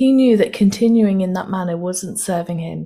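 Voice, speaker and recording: Somewhat breathy and dark, mellow in tone, a woman speaks at medium pitch and a moderate pace with fairly even intonation. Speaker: podcast host. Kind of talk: interview.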